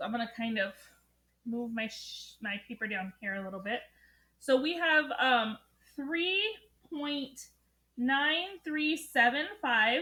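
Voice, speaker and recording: A woman projects a raised voice at a high pitch, bright and sharp in tone, with lively intonation. She speaks very slowly, leaving long, frequent pauses. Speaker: math teacher. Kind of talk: tutorial lesson. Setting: recorded alone, no students present.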